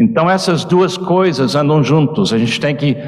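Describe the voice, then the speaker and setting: With audible room echo around him, a man speaks at a fairly high pitch with lively intonation. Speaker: visiting preacher. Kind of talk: sermon.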